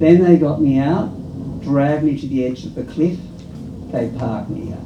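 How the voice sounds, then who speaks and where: Audible room echo and noticeable background noise accompany a moderately paced voice with ordinary pitch variation and big swings in loudness. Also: man, fairly high pitch for a man. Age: old. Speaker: performer in an elders' theatre workshop. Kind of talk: storytelling performance.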